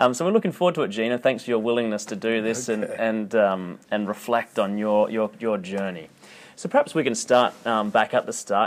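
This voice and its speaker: Here a man speaks at a medium pitch. He has an Australian accent. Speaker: podcast host. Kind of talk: interview. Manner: hesitant, many fillers.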